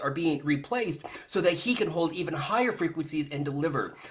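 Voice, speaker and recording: Noticeable background noise sits behind a man's fairly high voice. He talks at a fairly quick pace. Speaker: spiritual channeler. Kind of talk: live channeling session. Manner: fast.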